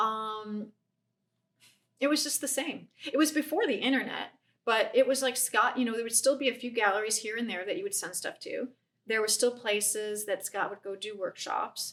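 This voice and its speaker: At a moderate pace, a woman with a slight Chicago accent talks at a fairly high pitch with ordinary pitch variation. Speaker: painter. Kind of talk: casual chat. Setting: artist's studio.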